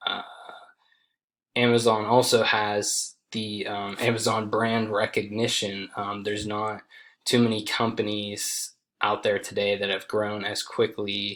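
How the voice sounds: A man speaks slowly in a fairly low pitch, his intonation monotone and flat, his tone fairly bright.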